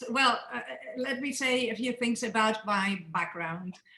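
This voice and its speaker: With noticeable background noise behind her, a woman speaks at a fairly slow pace using lively intonation. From Greece. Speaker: journalist and author. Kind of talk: interview.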